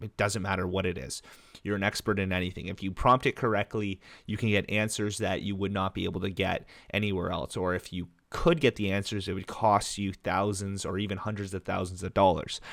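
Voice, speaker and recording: A plain, everyday voice speaks at a fairly quick pace with fairly even intonation. The recording is very clean with a silent background. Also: man, fairly low pitch for a man. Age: 20s. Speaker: entrepreneur and insurance advisor. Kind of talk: casual talking-head tutorial. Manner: casual, with fillers.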